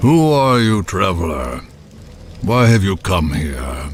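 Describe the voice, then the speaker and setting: In a put-on character voice, a man speaks raspy and very deep, fairly slowly with very wide pitch swings over clear background music. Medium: video game. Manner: measured, grave.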